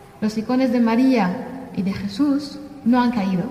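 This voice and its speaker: Noticeable background noise and audible room echo surround a woman's high-pitched voice with ordinary pitch variation. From Syria, Damascus. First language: Arabic (speaking Spanish). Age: 30s. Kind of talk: testimony. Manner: halting.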